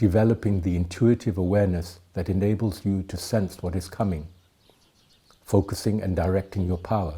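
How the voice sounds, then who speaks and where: Speaking at a fairly quick pace, the man has a very deep, low pitch, a dark, mellow tone, fairly even intonation and a somewhat breathy sound. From Thailand, educated in the UK. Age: 70s. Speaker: tai chi teacher. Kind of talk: lecture.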